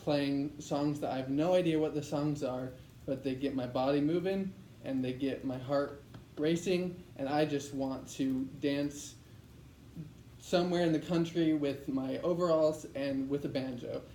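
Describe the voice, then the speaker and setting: With noticeable background noise and audible room echo, a man talks at a fairly slow pace in a fairly high pitch, his intonation fairly even. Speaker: medical student in public speaking class. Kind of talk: practice speech. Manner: voice shaking, not confident.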